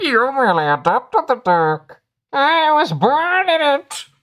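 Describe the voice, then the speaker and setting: A put-on character voice, female-sounding and high-pitched, at a fairly slow pace. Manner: menacing, dramatic.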